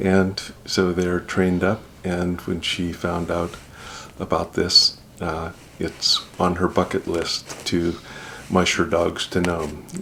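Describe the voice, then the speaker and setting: A man with a very deep, low voice and an Alaskan accent, monotone and flat, at a very slow pace with long, frequent pauses, over noticeable background noise. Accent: Alaskan American. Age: 60s. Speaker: judge, trip participant. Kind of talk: interview.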